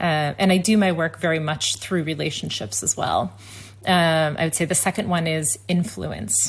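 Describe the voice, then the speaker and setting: At a moderate pace, a woman with an American accent speaks at a fairly low pitch, using vocal fry and very wide pitch swings. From United States. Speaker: tech company executive. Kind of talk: interview conversation. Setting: video call.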